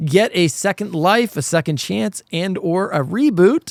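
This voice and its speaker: Loud, high-pitched man with lively intonation in a dry, close sound with no echo. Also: very clean recording, silent background. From Canada. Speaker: podcast host. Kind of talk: casual chat.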